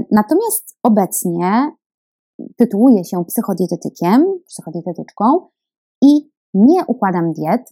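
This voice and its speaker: Speaking at a fairly slow pace, a woman uses very wide pitch swings and a dark, mellow tone. She takes long, frequent pauses, and the sound is dry and close with no echo. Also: fairly high pitch for a woman. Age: 20s. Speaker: dietitian and podcast host. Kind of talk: solo podcast monologue.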